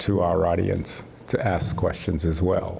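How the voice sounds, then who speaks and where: Background noise is clearly audible. A man talks over it. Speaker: producer and storyteller. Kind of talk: interview questions to guest.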